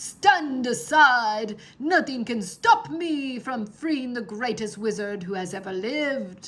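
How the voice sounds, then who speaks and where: Growling in a put-on character voice, a female-sounding speaker goes at a fairly slow pace, high-pitched for a woman, with hardly any pauses. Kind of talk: boastful, pompous. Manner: growling, commanding.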